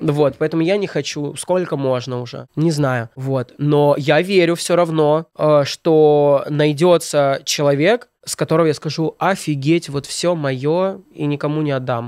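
Against a quiet background, a man speaks at a fairly slow pace with fairly even intonation, the sound dry with no echo. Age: 20s. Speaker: blogger and comedic video maker; blogger. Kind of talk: casual chat. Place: studio. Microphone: studio mic.

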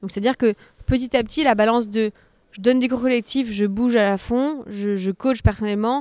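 A woman speaks at a fairly quick pace with fairly even intonation. The sound is dry with no echo, over a quiet background. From France, Nantes (early childhood in Martinique); France. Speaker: fitness coach and content creator; fitness coach, content creator. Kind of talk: interview. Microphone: studio mic.

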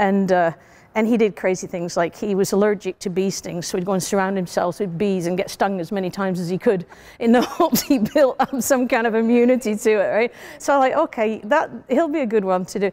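A woman speaks in a British accent. Her pace is fairly quick and her intonation lively. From UK. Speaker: CEO and scientist. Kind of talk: interview answer. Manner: casual, storytelling. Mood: animated, humorous storytelling. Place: hall.

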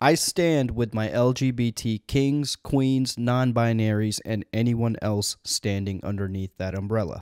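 Over a quiet background, a man speaks at a fairly slow pace with ordinary pitch variation in a dry sound with no echo. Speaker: commentary host. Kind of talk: comedic commentary. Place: studio. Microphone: handheld.

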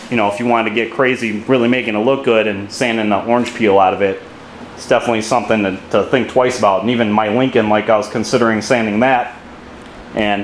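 Talking at a very fast pace in a monotone, flat intonation, a man is heard with audible room echo and light background noise. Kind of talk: tutorial commentary. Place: garage. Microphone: phone near.

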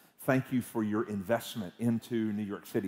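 The speaker has a dark, mellow tone and a Southern US accent. Delivery is at a moderate pace with fairly even intonation. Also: man. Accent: Southern US (Georgia). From US South, Georgia (Atlanta area). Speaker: guest preacher. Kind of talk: sermon. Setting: church service with congregation. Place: church. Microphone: headset.

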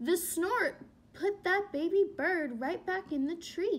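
At a slow pace, a woman speaks at an extremely high pitch.

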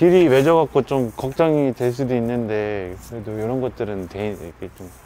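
A man's dark, mellow tone with lively intonation over light background noise. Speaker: travel and food vlogger; food vlogger. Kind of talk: walking travel vlog narration. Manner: casual, conversational. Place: street. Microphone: phone near.

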